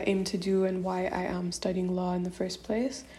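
A somewhat breathy, dark and mellow voice with monotone, flat intonation. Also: woman. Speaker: law student. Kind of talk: personal statement. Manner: hesitant.

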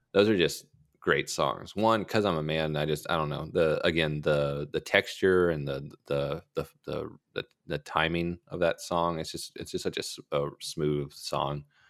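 Delivered at a moderate pace with fairly even intonation, the speech comes through a very clean recording with a silent background. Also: man, very deep, low pitch for a man. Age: 20s. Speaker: music podcast co-host. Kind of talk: casual chat.

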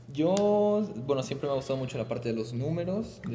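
Over audible room echo, a man talks at a fairly quick pace with lively intonation. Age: 20s. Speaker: university student and entrepreneur. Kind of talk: casual interview chat.

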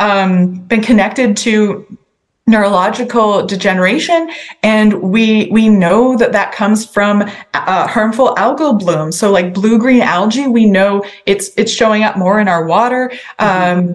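A woman with a fairly high pitch speaks with a Maritime Canadian accent. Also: very even loudness. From New Brunswick, Canada (Sackville). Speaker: provincial politician. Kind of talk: interview.

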